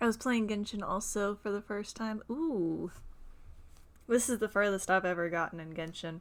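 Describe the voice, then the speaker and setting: Speaking with a Southern US accent, a woman uses a medium pitch, ordinary pitch variation and a moderate pace on a very clean recording with a silent background. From Texas. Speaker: video game streamer. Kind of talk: casual live-stream chat. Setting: live stream.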